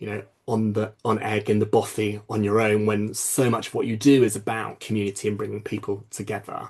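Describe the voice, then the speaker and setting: Speaking at a fairly quick pace with hardly any pauses, a man with a fairly low pitch keeps a monotone, flat intonation. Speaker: curator and dramaturge. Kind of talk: panel discussion. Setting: video call. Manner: loud laugh.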